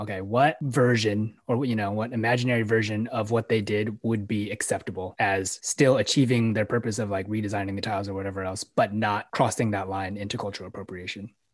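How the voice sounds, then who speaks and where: A man with a Californian accent, fairly low-pitched and fairly even in intonation, at a fairly quick pace with hardly any pauses. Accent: Californian American English. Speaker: podcast co-host. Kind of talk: casual discussion.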